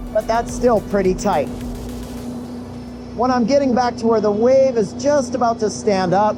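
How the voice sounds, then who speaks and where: Shouting at a moderate pace with very wide pitch swings, a man is heard over music in the background. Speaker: pro wakeboarder and wakesurf coach. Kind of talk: tutorial. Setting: outdoors, wakesurfing behind a boat. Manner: loud, near-yelling.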